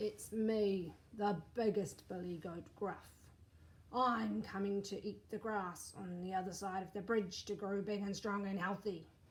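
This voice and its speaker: Putting on a raspy character voice, a woman speaks at a medium pitch and a fairly slow pace. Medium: read story.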